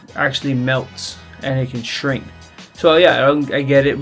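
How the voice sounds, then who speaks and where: With music in the background, a man speaks at a moderate pace and a fairly high pitch. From Hawaii (Kaneohe). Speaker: vlogger. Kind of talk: casual talk to camera. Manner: casual, relaxed.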